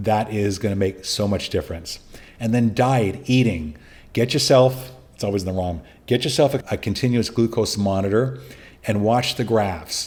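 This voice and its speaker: At a moderate pace, a man with a fairly low pitch speaks somewhat breathily, with ordinary pitch variation. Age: 60s. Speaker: podcast host, prostate cancer survivor. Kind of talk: solo podcast monologue giving advice. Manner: casual, conversational.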